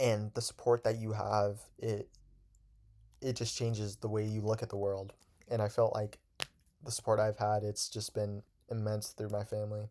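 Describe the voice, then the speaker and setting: Mumbling in a dark, mellow tone, a man keeps a moderate pace and monotone, flat intonation, with long, frequent pauses. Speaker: student podcaster. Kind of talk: casual monologue podcast. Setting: bedroom. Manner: halting.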